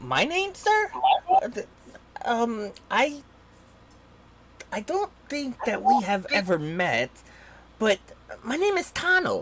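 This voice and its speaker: Using a put-on character voice, the speaker talks high and fairly slowly, with long, frequent pauses. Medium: actual play. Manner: excited, stammering.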